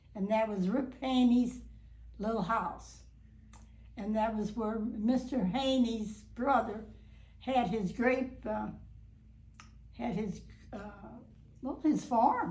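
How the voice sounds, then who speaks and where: A woman speaks very slowly at a fairly high pitch, with vocal fry and a dark, mellow tone. Her intonation is fairly even, pauses are long and frequent, and room echo can be heard. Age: 90s. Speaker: long-time local resident interviewed for oral history. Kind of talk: oral history interview. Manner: halting, many fillers and restarts.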